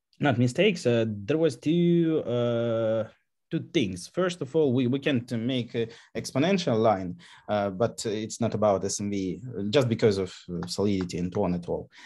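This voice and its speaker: The speaker has a non-native accent and a dark, mellow tone, with lively intonation at a moderate pace. The background is quiet. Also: man, medium pitch for a man. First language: not English. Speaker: contest participant presenting a solution. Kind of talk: online AMA discussion. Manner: halting, many fillers.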